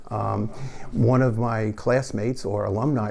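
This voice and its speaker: In a New York accent, a man talks with fairly even intonation. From New York City (Queens). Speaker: parish lay group member. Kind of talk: interview.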